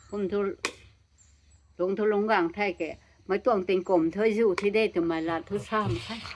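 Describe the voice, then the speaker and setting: Against noticeable background noise, a woman speaks at a medium pitch and moderate pace, with long, frequent pauses. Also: ordinary pitch variation. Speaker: elderly villager. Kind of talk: oral history interview.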